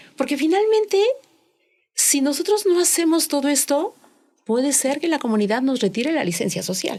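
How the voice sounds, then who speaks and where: A woman's high-pitched voice with a dark, mellow tone, very wide pitch swings, very even loudness, a moderate pace and long, frequent pauses. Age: 60s. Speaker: corporate compliance expert. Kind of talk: podcast interview.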